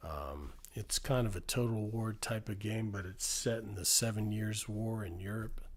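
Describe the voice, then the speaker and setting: This man's voice is fairly low and somewhat breathy, with ordinary pitch variation at a moderate pace. The recording is very clean with a silent background. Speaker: ASMR streamer. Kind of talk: live stream chat. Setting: live stream with chat. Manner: soft-spoken, relaxing; halting, many fillers.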